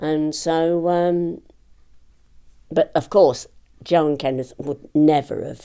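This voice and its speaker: A woman with a very deep, low pitch talks with fairly even intonation on a very clean recording with a silent background. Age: 70s. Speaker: author and memoirist. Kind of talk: interview. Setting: at her home. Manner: hesitant, many fillers and repetitions.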